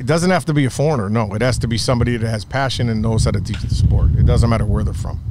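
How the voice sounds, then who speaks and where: A man with an American accent and a medium pitch talks at a very fast pace with hardly any pauses and lively intonation, over noticeable background noise and audible room echo. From upstate New York. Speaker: baseball coach and club founder. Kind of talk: podcast interview.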